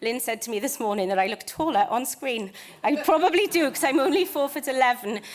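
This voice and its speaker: A woman with a British accent speaks with lively intonation. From United Kingdom. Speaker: conservation charity manager. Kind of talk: conference presentation. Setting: stage with audience. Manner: fast.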